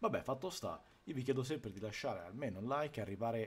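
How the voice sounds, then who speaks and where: Lively intonation runs through this man's speech. He talks at a fairly quick pace. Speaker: game streamer. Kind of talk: casual stream intro chat. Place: home room.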